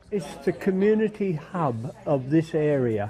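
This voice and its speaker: Fairly slow delivery over crowd noise in the background. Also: man. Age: 70s. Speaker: library user, local resident. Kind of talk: interview.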